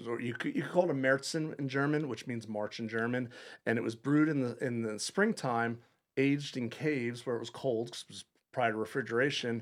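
A plain, everyday voice from a man with an American accent, medium pitch, fairly even intonation and a fairly quick pace. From Long Island, New York. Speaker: head brewer. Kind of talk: casual interview.

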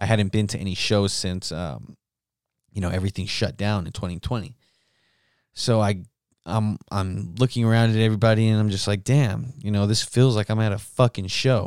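An unremarkable speaking voice with an American accent, ordinary pitch variation and a moderate pace, on a very clean recording with a silent background. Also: man. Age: 20s. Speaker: podcast host, musician. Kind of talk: casual solo monologue with heavy swearing. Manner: casual, rambling, profane.

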